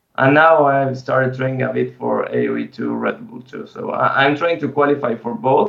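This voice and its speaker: With a Spanish accent, a man talks at a moderate pace with hardly any pauses. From Argentina. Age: 30s. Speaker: esports player and streamer. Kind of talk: interview.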